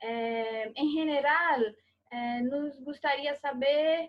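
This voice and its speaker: High female voice with ordinary rise and fall in pitch. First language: Portuguese (speaking Spanish). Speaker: interviewer. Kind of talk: academic interview. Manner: halting.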